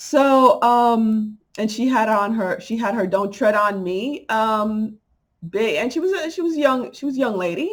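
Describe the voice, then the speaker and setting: An animated woman with a New York accent, fairly high pitch, lively intonation and a fairly slow pace. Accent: New York accent, coming through. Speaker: spiritual channel vlogger. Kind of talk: casual vlog monologue.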